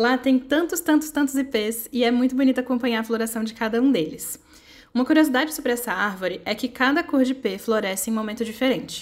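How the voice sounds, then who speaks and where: Fairly quick in pace, a woman speaks at a high pitch with ordinary pitch variation. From Brasília, Brazil. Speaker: amigurumi crochet designer. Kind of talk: personal reflective narration with product promo. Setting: at home.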